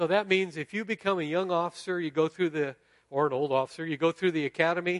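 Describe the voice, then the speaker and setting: A man's fairly quick, fairly high-pitched speech with ordinary pitch variation, an unremarkable speaking voice, dry and close with no echo, over a quiet background. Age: 60s. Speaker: guest pastor. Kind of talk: sermon. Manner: casual.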